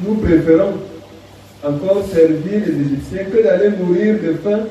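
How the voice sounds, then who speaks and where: In a room with strong echo and light background noise, a man talks very slowly at a high pitch. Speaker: preacher. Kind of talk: sermon. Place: church.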